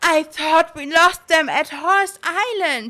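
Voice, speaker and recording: A woman's put-on character voice, raised and projected, at an extremely high pitch and a fairly slow pace. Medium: game stream. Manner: bold, commanding.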